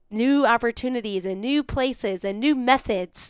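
A woman with a high pitch and an American accent speaks in an animated tone at a moderate pace. The recording is very clean, with a silent background and a dry, close sound with no echo. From West Michigan, US. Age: young. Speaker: hunter. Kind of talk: casual chat.

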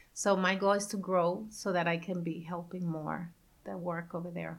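With vocal fry, a woman at medium pitch speaks at a moderate pace. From Nicaragua. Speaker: coffee company founder. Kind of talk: interview. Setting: campus event.

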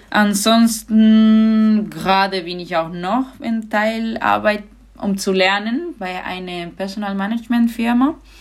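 A woman's very slow speech with a Spanish accent at a fairly high pitch. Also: ordinary pitch variation. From Andalusia, Spain (Granada). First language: Spanish (speaking German). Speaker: handball goalkeeper. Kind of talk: podcast interview.

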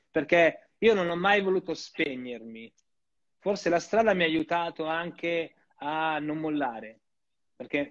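Here a man talks at a fairly high pitch with ordinary pitch variation. He goes at a fairly slow pace, with long, frequent pauses. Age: 40s. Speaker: tap dancer and dance teacher. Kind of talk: casual interview chat.

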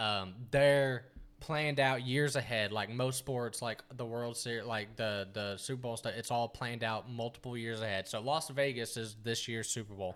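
A man uses a normal speaking voice at medium pitch. He keeps a moderate pace and fairly even intonation. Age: 20s. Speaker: podcast co-host. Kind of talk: casual chat.

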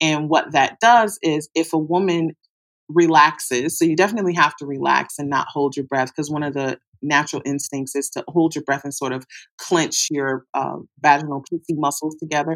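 A woman speaks with an American accent. Her pitch is very deep and low, and her intonation is fairly even. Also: moderate pace. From US Midwest, Detroit. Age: 40s. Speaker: sex educator. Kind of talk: interview.

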